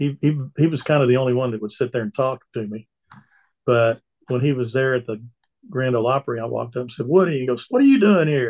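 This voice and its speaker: A man with a Texan accent, medium pitch, and a very fast pace. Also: ordinary pitch variation. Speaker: country singer and retired car dealer. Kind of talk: casual chat.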